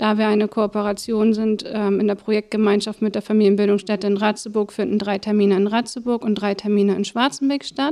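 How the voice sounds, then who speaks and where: Her dark, mellow tone sits at a medium pitch, as the woman speaks at a fairly quick pace with monotone, flat intonation, very even loudness and hardly any pauses. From northern Germany, Schwarzenbek. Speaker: family-support project coordinator. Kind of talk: casual interview.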